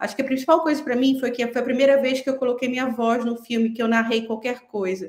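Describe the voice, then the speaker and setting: A woman speaks in a northern Brazilian accent. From Pará, northern Brazil. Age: 40s. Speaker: film director. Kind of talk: panel discussion.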